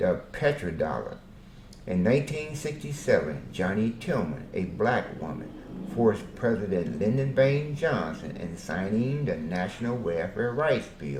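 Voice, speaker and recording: Amid noticeable background noise and audible room echo, a man speaks fairly slowly at medium pitch, his voice swinging very widely up and down. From Arkansas, US South. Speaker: self-interviewing storyteller. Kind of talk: self-interview monologue.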